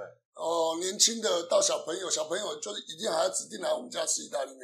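A man talks at a very fast pace. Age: 40s. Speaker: Italian restaurant owner and chef. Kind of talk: casual interview. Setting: in his restaurant.

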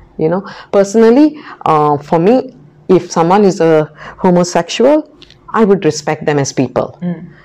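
Noticeable background noise sits behind a woman speaking at a moderate pace. Her pitch is fairly low and her intonation lively. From Goa, India. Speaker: teacher. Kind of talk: interview.

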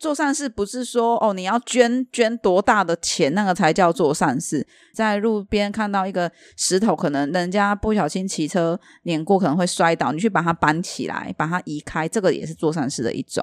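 In a dry, close sound with no echo, a woman with an unremarkable speaking voice speaks at medium pitch and a moderate pace with lively intonation. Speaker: podcast co-host selling Thai amulets. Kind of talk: casual chat.

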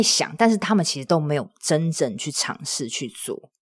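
A woman talks at a moderate pace with vocal fry. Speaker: podcaster and side-business coach. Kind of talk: casual interview. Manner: calm, steadying delivery.

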